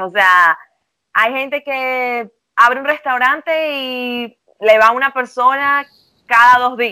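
In a high pitch and a bright, sharp tone, a woman speaks at a very slow pace. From Venezuela. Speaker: psychologist. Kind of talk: casual interview. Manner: hesitant, filler-heavy.

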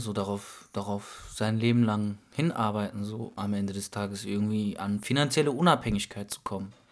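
A man with a normal speaking voice talks at a fairly low pitch and fairly quick pace. Very clean recording, silent background. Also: hardly any pauses. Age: 20s. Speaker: podcast co-host. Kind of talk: casual chat.

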